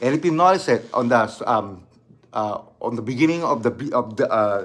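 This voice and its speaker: This man's intonation is lively. He talks at a moderate pace. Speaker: channel host and amateur rapper. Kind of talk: casual video vlog talk. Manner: halting, many fillers and restarts.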